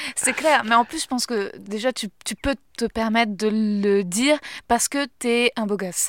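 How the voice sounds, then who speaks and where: A woman's unremarkable speaking voice, fairly high in pitch, with ordinary pitch variation at a fairly slow pace. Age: 30s. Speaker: podcast host and comedian. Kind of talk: casual chat.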